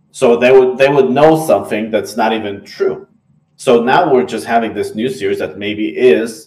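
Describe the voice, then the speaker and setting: Lively intonation marks a man's speech in an Israeli accent. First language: Hebrew. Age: 20s. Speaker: anime podcast co-host. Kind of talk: casual chat.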